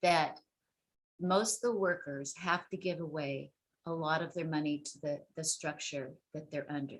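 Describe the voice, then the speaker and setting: Using a normal speaking voice, a woman talks fairly slowly, with fairly low pitch and ordinary pitch variation. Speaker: sex worker rights advocate. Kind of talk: webinar presentation.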